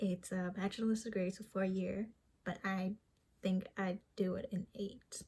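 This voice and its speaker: Somewhat breathy and at medium pitch, a woman speaks at a fairly slow pace with monotone, flat intonation. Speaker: vlogger and aspiring comedian. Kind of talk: casual vlog monologue.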